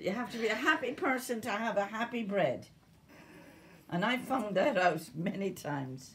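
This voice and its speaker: Noticeable background noise sits behind a woman with an Irish accent and lively intonation. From Ireland. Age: 70s. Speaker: home cook. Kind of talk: cooking tutorial.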